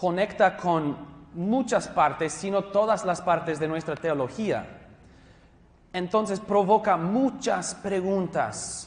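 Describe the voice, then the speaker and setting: A man with a high pitch, a very slow pace and ordinary pitch variation. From US West Coast, Los Angeles County. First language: English (speaking Spanish). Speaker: pastor and theology teacher. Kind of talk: lecture. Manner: halting.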